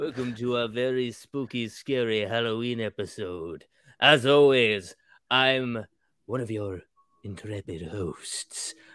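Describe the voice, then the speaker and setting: In a very clean recording with a silent background, a man performs a put-on character voice in a theatrical tone at a medium pitch and a fairly slow pace. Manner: theatrical, spooky.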